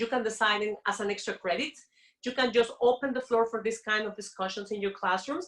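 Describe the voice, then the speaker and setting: A woman with a fairly high voice speaks at a fairly quick pace, her intonation fairly even. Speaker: professor. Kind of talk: conference presentation.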